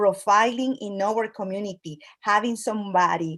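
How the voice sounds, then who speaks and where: A woman speaks at medium pitch and a fairly slow pace. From Latin America. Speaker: immigrant community organization leader. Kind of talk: speech at an online event. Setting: video call. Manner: halting, with frequent fillers.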